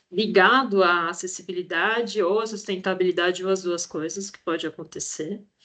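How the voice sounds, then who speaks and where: An unremarkable speaking voice from a woman, moderate in pace, with fairly even intonation. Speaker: project coordinator presenting an education challenge. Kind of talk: online presentation.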